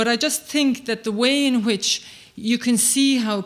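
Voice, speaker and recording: The speaker is a woman. She has an Irish accent. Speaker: human rights advocate. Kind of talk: conference speech. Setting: stage with audience. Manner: fast.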